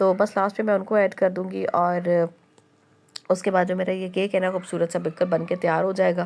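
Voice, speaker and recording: At a moderate pace, a woman talks in a medium pitch. Her delivery is monotone, the intonation flat. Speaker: vlogger, housewife. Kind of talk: casual vlog narration. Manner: halting with fillers.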